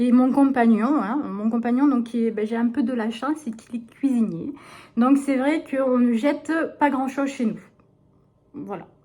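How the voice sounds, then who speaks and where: Pausing long and often, a woman with a high pitch and a dark, mellow tone keeps a moderate pace and fairly even intonation. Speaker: vlogger. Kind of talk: casual vlog talk. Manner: hesitant.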